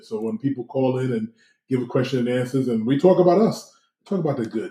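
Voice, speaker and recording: A man's somewhat breathy, dark, mellow voice with an American accent, medium pitch, lively intonation and a very fast pace. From New York. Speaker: podcast co-host. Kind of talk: casual chat. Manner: halting, many fillers.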